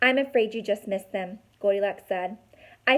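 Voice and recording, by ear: The pitch varies in an ordinary way. Someone is reading aloud in a natural voice.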